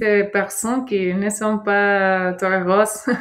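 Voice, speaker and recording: Speaking with a Mexican accent, a woman keeps a medium pitch and a monotone, flat intonation. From Mexico, Sinaloa. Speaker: former au pair. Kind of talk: interview testimony. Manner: halting.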